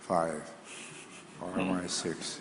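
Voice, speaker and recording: This is a man speaking. Noticeable background noise runs beneath his voice. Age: 80s+. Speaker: statesman. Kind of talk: forum Q&A answer. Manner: direct.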